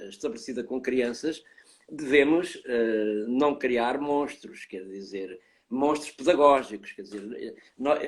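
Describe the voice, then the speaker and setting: A man with a European Portuguese accent speaks at a moderate pace with ordinary pitch variation. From Portugal. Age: 70s. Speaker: professor of child development. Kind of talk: interview.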